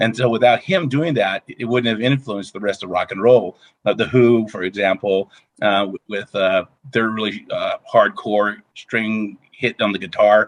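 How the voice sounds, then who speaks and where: A man with an American accent speaks at a moderate pace. His pitch is fairly low, with ordinary pitch variation. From Southern California. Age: 60s. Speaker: retired teacher. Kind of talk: interview. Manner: halting, many fillers.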